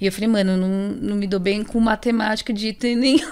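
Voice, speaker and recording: The recording is very clean, the background silent. A woman with fairly high pitch uses a normal speaking voice at a fairly quick pace. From Brazil, São Paulo South Zone. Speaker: illustrator. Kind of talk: casual interview.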